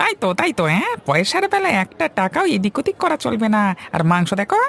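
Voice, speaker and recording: A man uses a cartoonish character voice pitched high for a man, at a moderate pace. His loudness stays very even throughout. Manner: loud, confrontational.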